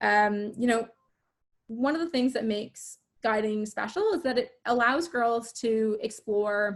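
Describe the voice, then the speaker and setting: Using a normal speaking voice, a woman with a Canadian accent talks fairly slowly at a fairly high pitch with ordinary pitch variation. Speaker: youth organization volunteer. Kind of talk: online info session presentation.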